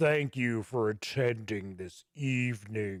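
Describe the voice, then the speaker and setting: A man adopts a put-on character voice, talking fairly slowly at a medium pitch. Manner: ominous.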